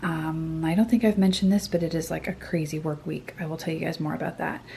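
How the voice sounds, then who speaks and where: A woman speaks quietly at a fairly low pitch. Noticeable background noise runs behind her. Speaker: artist and illustrator vlogger. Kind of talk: casual vlog talk to camera. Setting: home studio. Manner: speaking very quietly; hesitant, many fillers.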